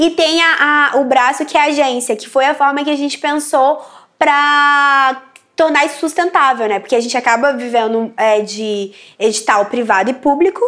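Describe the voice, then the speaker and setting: The speaker is a woman with a high, bright, sharp voice. Her pitch variation is ordinary. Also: moderate pace. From Brasília periphery, Brazil. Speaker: journalist. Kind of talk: interview monologue. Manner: casual, filler-heavy.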